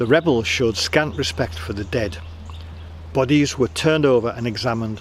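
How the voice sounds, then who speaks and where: A medium-pitched male voice with lively intonation over noticeable background noise. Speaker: storyteller, audiobook reader. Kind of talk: audiobook reading of a historical novel, storytelling.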